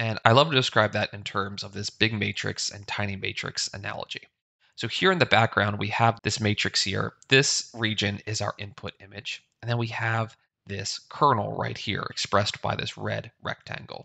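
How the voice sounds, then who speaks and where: Against a quiet background, a man with a fairly low pitch speaks with vocal fry and fairly even intonation. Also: moderate pace. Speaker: instructor. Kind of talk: tutorial. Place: home room.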